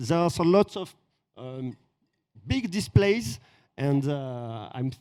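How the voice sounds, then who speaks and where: Pitched fairly high, a man speaks in a French accent with a dark, mellow tone. His pitch swings very widely. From France. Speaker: influencer visiting event. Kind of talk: casual interview. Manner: halting.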